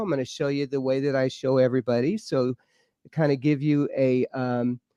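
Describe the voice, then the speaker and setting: A man's fairly high voice with a dark, mellow tone and a slight Georgia accent, in a dry, close sound with no echo. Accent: slight adopted Georgia. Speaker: UFO and paranormal researcher. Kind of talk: interview show, casual chat. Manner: halting, many fillers.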